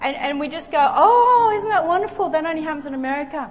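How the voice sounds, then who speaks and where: This woman has an Australian accent and an animated tone. She talks at a very fast pace over noticeable background noise. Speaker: preacher. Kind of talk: sermon. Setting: church with live audience. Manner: animated, fervent.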